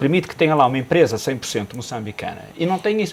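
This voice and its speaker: Noticeable background noise runs under this clip. A man's voice moves in very wide pitch swings. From northern Portugal (Minho). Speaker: business commentator. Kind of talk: TV panel discussion. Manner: hesitant, repetitive.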